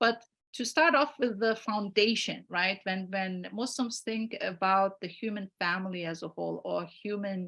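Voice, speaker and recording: Against a quiet background, a woman with a medium-pitched voice speaks at a moderate pace with ordinary pitch variation. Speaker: lecturer. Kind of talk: online lecture. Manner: hesitant, many fillers.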